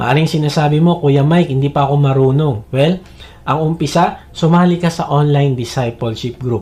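A man with a Filipino accent talks at a moderate pace in a fairly high pitch, his dark, mellow tone somewhat breathy and his intonation fairly even. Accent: Filipino-accented English, Tagalog speaker. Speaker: preacher. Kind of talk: sermon. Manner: earnest, persuasive, direct appeals to the listener; steady, teaching pace with Bible quotations.

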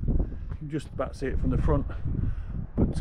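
A man over loud background noise. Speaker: DIY vehicle builder vlogger. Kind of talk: casual vlog chat. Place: street. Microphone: phone near.

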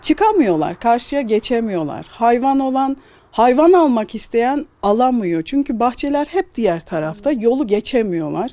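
The delivery is fairly slow. There are hardly any pauses. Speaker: local resident. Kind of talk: street interview. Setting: outdoors.

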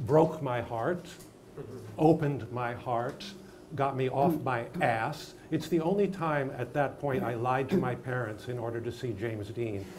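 There is light background noise as a man talks. He moves at a fairly slow pace with ordinary pitch variation. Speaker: acting teacher interviewee. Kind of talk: interview answer. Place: studio.

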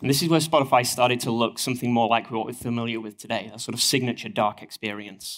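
A man with a northern English accent, at a very fast pace. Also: medium pitch for a man, ordinary pitch variation. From northern England. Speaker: engineering manager. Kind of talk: conference talk. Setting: stage with audience. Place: hall. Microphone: headset.

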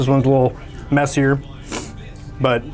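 A man's voice with faint music in the background. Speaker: company staff reviewing tacos. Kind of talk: casual food review chat. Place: cafe. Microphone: lapel.

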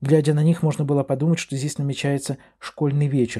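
A somewhat breathy voice in a very clean recording with a silent background. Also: man. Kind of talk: literary audiobook reading, scripted narration of a novel. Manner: measured, expressive storytelling pace.

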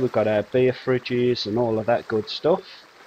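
Light background noise under a male voice. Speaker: game streamer. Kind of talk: casual gameplay commentary. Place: home room. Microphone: headset.

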